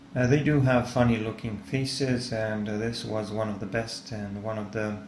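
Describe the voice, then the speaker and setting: With noticeable background noise and audible room echo, a man speaks at a moderate pace and medium pitch with fairly even intonation. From Serbia. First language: Serbian. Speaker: art tutor / artist. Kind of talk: tutorial. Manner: halting, many fillers.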